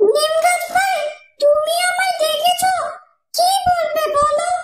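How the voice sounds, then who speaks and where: This cartoonish character voice is squeaky and extremely high-pitched, swinging very widely in pitch while moving at a very slow pace. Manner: polite, sweet-talking.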